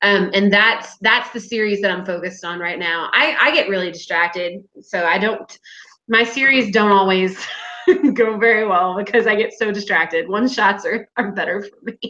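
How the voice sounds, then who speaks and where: A woman talks at a moderate pace in an American accent, her pitch medium with ordinary variation. Hers is an unremarkable speaking voice. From United States. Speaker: fan fiction writer. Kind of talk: casual chat.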